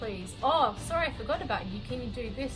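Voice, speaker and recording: Over music in the background, a woman with an Australian accent talks at a fairly quick pace. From Sydney, Australia. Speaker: casual relief teacher. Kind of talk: vlog narration. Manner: casual, storytelling.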